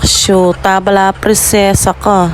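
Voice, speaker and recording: Against noticeable background noise, a woman with a medium-pitched voice speaks in a playful tone at a fairly quick pace. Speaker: vlogger. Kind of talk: voice-over vlog narration. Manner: casual, playful.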